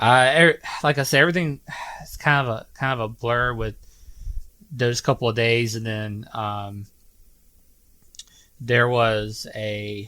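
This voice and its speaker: A man with a Southern US accent, medium pitch and ordinary pitch variation, at a fairly slow pace with long, frequent pauses, a bright, sharp tone and big swings in loudness. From US South, Georgia. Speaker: podcast host. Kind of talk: personal testimony. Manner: halting, many fillers.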